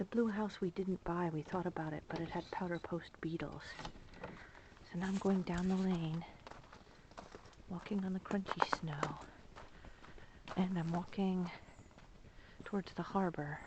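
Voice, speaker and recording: Over noticeable background noise, a woman speaks in a monotone, flat intonation, leaving long, frequent pauses. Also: medium pitch for a woman. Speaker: vlogger. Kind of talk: casual walking tour narration. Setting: outdoors in cold winter. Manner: hurried; whispering.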